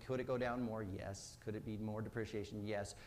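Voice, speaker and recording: Audible room echo colors the voice of a man talking at a fairly quick pace with fairly even intonation. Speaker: mortgage lending speaker. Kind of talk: business presentation. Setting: stage with audience. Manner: fast.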